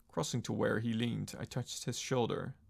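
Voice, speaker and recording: A man talks at a fairly quick pace and medium pitch, with vocal fry. The recording is very clean and the background silent. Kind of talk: audiobook-style reading of a horror story. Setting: live-streamed reading by a virtual avatar streamer. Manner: wooden, stumbling over words occasionally.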